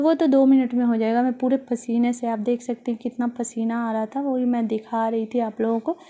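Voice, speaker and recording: Monotone, flat delivery from a woman, dark and mellow in tone, at a moderate pace. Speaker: home vlogger. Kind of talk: voiceover vlog narration. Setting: home kitchen. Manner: casual, with hesitations.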